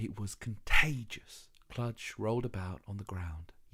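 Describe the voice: Ordinary pitch variation in plain reading aloud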